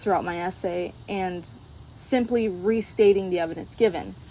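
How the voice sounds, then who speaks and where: A quiet woman's voice with a General American accent, moderate pace, and ordinary pitch variation. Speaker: college student. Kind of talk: class presentation. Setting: outdoors at sunset.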